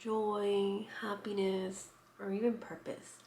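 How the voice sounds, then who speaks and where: A soft-spoken woman with a dark, mellow tone, in audible room echo. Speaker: lifestyle vlogger. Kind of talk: casual vlog talk. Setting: at home.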